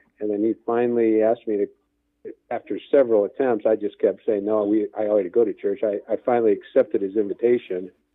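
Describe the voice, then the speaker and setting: A man with an Inland North American accent talks at a fairly quick pace. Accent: Midwestern American (Inland North). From northwest Indiana (Gary). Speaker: men's ministry leader. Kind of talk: interview.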